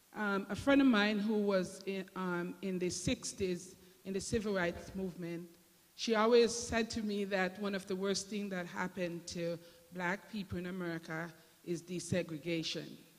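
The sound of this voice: With a Jamaican accent, a woman speaks at medium pitch and a moderate pace, with fairly even intonation and few pauses.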